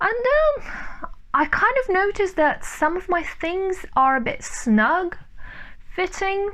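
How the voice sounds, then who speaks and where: A woman speaks at an extremely high pitch, very slowly, with very wide pitch swings. Noticeable background noise runs underneath. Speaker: sewing vlogger. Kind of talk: casual vlog. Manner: loud; chatty, with fillers.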